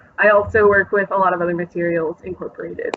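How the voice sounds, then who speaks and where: A woman talks with an American accent at a medium pitch. Her intonation is monotone and flat. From Oklahoma. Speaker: glass artist. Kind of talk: interview. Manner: hesitant, many fillers.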